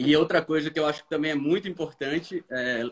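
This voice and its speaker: A man speaks at a fairly high pitch. His pitch varies an ordinary amount. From Brazil, Recife (Pernambuco). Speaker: diplomat. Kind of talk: casual live-stream chat.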